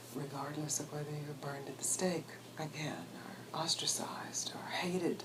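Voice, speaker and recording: With an American accent, a woman speaks in a monotone, flat way at a very deep, low pitch and moderate pace, amid audible room echo and noticeable background noise. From US Deep South, Mississippi. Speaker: spiritual teacher. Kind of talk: interview. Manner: halting, with restarts.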